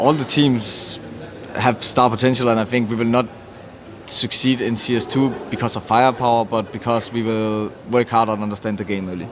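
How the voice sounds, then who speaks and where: Over noticeable background noise, a man speaks with a Danish accent. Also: medium pitch for a man, fairly even intonation, moderate pace. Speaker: esports team captain. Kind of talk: interview.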